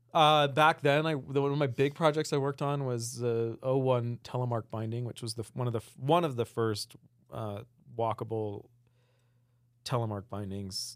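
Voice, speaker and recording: Here a man speaks in a plain, everyday voice at a moderate pace. His medium pitch shows ordinary variation, on a very clean recording with a silent background. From Utah, Salt Lake City. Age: 40s. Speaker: outdoor product designer. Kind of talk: casual interview chat.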